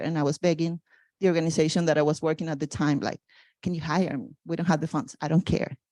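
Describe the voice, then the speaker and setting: The voice belongs to a woman. It is a very clean recording with a silent background. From Venezuela (Margarita Island). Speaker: nonprofit founder. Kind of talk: community talk. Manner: halting, with many fillers.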